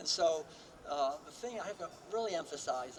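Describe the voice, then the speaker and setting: Noticeable background noise sits behind a man with an American accent and a high pitch. He moves at a fairly quick pace with ordinary pitch variation. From Massachusetts, US. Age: 70s. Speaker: vegan author and speaker. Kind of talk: rally keynote speech. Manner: casual, with fillers.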